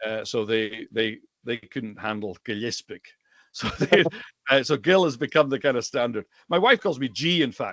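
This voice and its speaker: A man talks with lively intonation. He has a Highlands and Islands Scottish accent. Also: medium pitch for a man, moderate pace. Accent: Highland and Islands Scottish. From Scotland, Western Isles / Isle of Skye. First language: Scottish Gaelic. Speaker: rare book dealer and Gaelic teacher. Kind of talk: casual interview chat.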